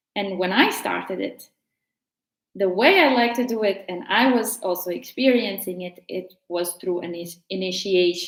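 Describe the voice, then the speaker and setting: A woman with a Latvian accent speaks at a fairly slow pace. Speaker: tarot teacher. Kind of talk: casual tutorial.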